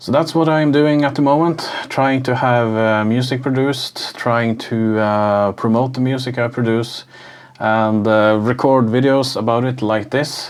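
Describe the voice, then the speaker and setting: Over noticeable background noise, a man speaks at medium pitch and a fairly slow pace, with fairly even intonation and very even loudness. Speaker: music producer and YouTuber. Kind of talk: casual vlog talk to camera. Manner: halting, many filler uhs.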